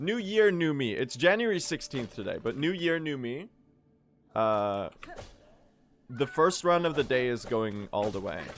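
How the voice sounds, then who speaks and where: A man with a fairly high pitch and very wide pitch swings at a fairly slow pace, music playing in the background. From Sweden. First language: Swedish. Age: 20s. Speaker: video game speedrun streamer. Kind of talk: live stream chat while gaming. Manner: casual, halting with fillers.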